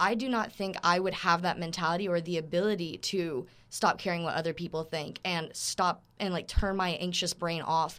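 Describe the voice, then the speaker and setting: On a very clean recording with a silent background, a woman with an American accent speaks at a moderate pace with fairly even intonation. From Florida, with years in Germany and Austria. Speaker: veterinary student. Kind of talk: casual chat. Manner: loud.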